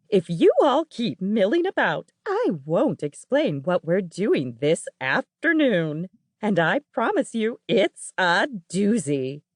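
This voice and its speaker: A put-on character voice, warm in tone and fairly high-pitched, with very wide swings in pitch. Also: fairly slow pace. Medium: read story. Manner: warm, teacherly.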